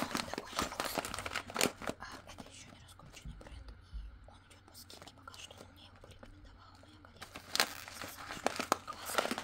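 Pausing long and often, a woman speaks at a moderate pace. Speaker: waxing and sugaring specialist. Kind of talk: ASMR unboxing. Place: home room.

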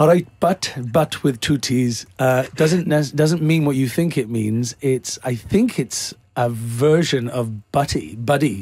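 Over a quiet background, a man with a Welsh accent speaks at a very slow pace with hardly any pauses, somewhat breathy, his pitch varying in an ordinary way. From Wales. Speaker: actor. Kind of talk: interview answer. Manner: casual, playful. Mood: jovial, laughing often. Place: studio. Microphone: studio mic.

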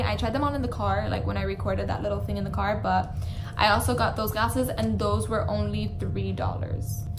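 A woman talks at a fairly quick pace in a very deep, low voice. Her intonation stays fairly even, with noticeable background noise behind her. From Miami. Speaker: vlogger. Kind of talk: casual vlog talk to camera. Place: home room. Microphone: phone near.

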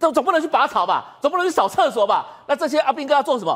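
Against a quiet background, a man with a high-pitched voice talks at a very fast pace. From Taiwan. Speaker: military commentator. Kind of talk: TV talk show panel discussion; political commentary. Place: studio.

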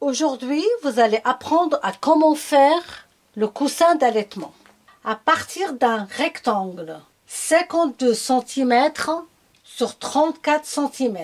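A woman at a high pitch with lively intonation, a very slow pace and long, frequent pauses over a quiet background. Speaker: sewing tutor. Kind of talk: tutorial.

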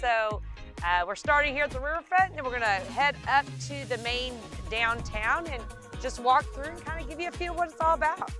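Over clear background music, a woman talks at a fairly quick pace in a dry recording with no echo. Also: big swings in loudness. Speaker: real estate agent host. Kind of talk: casual vlog chat. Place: street.

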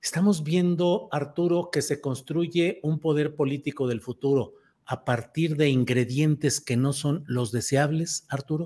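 A man speaks at a fairly slow pace in a fairly high pitch. His voice is somewhat breathy, with a dark, mellow tone. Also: ordinary pitch variation. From Mexico. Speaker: political news show host. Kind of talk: panel discussion.

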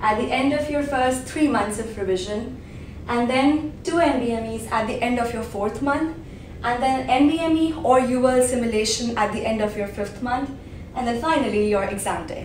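High-pitched female voice with ordinary pitch variation, audible room echo and light background noise. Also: moderate pace. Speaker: exam prep vlogger. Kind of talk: tutorial. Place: home room.

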